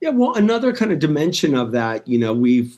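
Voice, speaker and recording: A man in a normal speaking voice, with an American accent, a fairly quick pace and lively intonation. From US West Coast, Los Angeles. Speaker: cannabis company co-founder. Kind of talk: interview.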